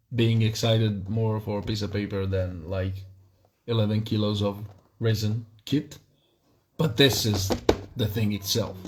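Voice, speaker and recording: A man with a non-native accent talks at a fairly slow pace, somewhat breathy and fairly low in pitch. His intonation stays fairly even, broken by long, frequent pauses. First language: not English. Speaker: miniature wargaming hobbyist streamer. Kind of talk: live stream unboxing. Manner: halting, many fillers.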